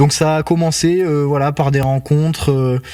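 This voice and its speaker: A man with a dark, mellow tone speaks at a fairly slow pace, his intonation fairly even. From southern France, Toulouse. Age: 20s. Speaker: airline pilot. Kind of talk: casual interview chat.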